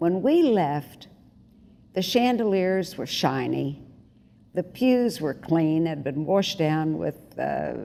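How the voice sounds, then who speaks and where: In a dark, mellow tone, the speaker talks very slowly with lively intonation and long, frequent pauses. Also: woman, fairly low pitch for a woman. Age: 80s+. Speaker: community volunteer, honoree. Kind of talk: interview testimony.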